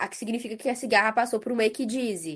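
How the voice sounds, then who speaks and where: A woman speaks with a Minas Gerais accent against a quiet background. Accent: Minas Gerais (mineiro). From Brazil, interior of Minas Gerais (Ubá). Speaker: nonprofit co-founder and director, biochemist. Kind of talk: podcast interview.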